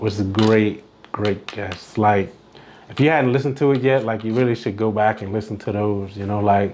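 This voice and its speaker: Noticeable noise behind speech of fairly even intonation. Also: man. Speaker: podcast host, confidence coach. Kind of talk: solo podcast monologue. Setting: recorded virtually. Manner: frequent filler words (uh, like); casual, conversational.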